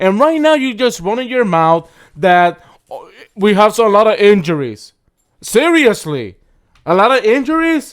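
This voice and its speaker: A loud man with a high pitch and very wide pitch swings, at a moderate pace with long, frequent pauses, on a very clean recording with a silent background. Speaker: sports podcast co-host. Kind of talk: casual chat. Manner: animated.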